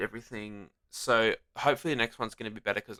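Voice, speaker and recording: Bright and sharp in tone, a man with an Australian accent talks at a very fast pace in a medium pitch. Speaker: gaming YouTuber. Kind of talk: gameplay commentary. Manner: casual, hesitant with many ums; loud.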